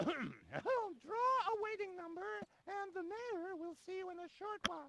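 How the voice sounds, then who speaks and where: A put-on character voice, extremely high in pitch, at a fairly slow pace. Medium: video game. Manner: brisk, official.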